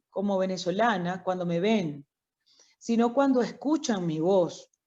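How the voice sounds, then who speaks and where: A woman speaks in a dark, mellow tone with lively intonation. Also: quiet background. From Venezuela, Miranda state (Barlovento). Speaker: doctor. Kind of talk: interview.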